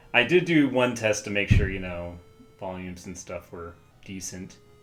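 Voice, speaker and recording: A man with a very deep, low pitch over music in the background. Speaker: gaming streamer. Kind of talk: casual gameplay commentary. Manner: hesitant, many fillers.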